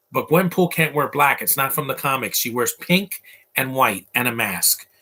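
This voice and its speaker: A man with an American accent, medium pitch, bright, sharp tone, lively intonation, and moderate pace. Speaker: movie commentator. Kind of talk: live movie commentary. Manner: casual, halting.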